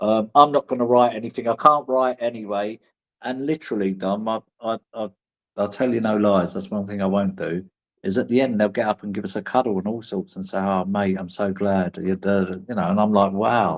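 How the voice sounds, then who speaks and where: A man with a London accent, fairly low in pitch with ordinary pitch variation, at a fairly quick pace, in a dry, close sound with no echo and a quiet background. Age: 50s. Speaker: prison performer and writer. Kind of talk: interview. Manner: hesitant, repeats words.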